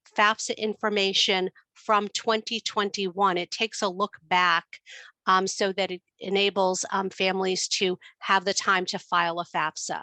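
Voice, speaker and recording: With a New York accent, a woman speaks at medium pitch in a bright, sharp tone, keeping a monotone, flat intonation at a fairly slow pace against a quiet background. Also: dry, close sound with no echo. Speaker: student finance expert. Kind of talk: webinar presentation.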